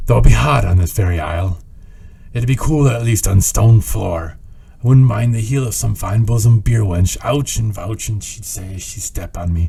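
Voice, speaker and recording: Putting on a gruff character voice, a man talks at a moderate pace in a fairly low pitch over light background noise. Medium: read story. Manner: gruff, rambling.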